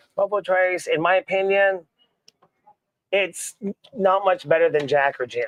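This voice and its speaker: A man with an American accent and a high pitch, at a moderate pace with long, frequent pauses, ordinary pitch variation, dry, close sound with no echo. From Oklahoma, US. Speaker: veteran and bartender. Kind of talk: casual chat. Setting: live stream studio with cigars.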